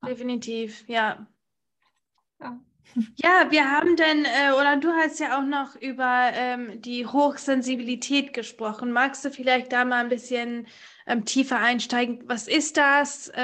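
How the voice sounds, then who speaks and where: With a high voice and fairly even intonation, a woman talks at a fairly slow pace, leaving long, frequent pauses. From United States. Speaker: podcast host. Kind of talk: podcast interview.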